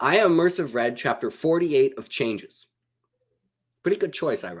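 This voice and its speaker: A man's fairly high voice with lively intonation, vocal fry, big swings in loudness, and a fairly quick pace. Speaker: book YouTuber. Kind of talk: casual chat. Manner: fast.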